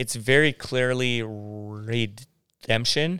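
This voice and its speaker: A man speaks with an American accent in a bright, sharp tone and ordinary pitch variation. The recording is very clean, the background silent. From San Diego, California. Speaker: pastor. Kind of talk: casual interview. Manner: halting.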